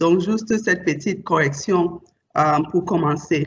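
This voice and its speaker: A woman speaking very slowly in a non-native accent, her intonation lively. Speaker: bank executive. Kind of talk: panel discussion.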